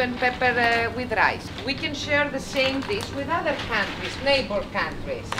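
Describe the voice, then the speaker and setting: A woman's high-pitched voice at a moderate pace, with ordinary pitch variation, audible room echo and noticeable background noise. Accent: Greek. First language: Greek. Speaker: restaurant owner. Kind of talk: interview. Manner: halting, frequent hesitations.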